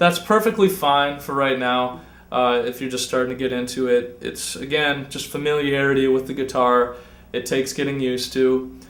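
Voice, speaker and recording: A man uses an ordinary speaking voice, medium in pitch, keeping a moderate pace and ordinary pitch variation. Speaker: guitar teacher. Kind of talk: tutorial. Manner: casual.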